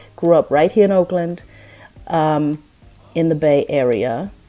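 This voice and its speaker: A woman with a German accent, a fairly low pitch and a dark, mellow tone, talking at a fairly slow pace with ordinary pitch variation. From Germany. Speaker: vlogger. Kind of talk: casual vlog. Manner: hesitant, many fillers.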